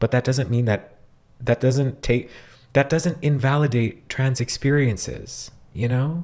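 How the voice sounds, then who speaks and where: A man speaks at a fairly slow pace, somewhat breathy. His loudness stays very even. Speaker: reaction video commentator. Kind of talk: reaction commentary. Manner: animated.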